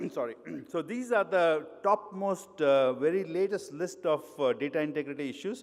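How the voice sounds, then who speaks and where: This speaker uses lively intonation and a moderate pace, with an Indian accent. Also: man, high pitch for a man. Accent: Indian accent, retained. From India, grew up in Mumbai. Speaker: pharmaceutical quality consultant, conference speaker. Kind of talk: conference talk. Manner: hesitant, with frequent fillers.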